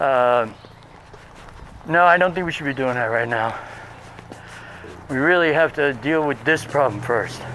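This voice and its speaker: Speaking with an American accent at a moderate pace, a man with a fairly high pitch and ordinary pitch variation takes long, frequent pauses over noticeable background noise. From Brooklyn, New York City. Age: 60s. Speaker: professor and vlogger. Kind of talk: casual walking vlog monologue. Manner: hesitant with fillers.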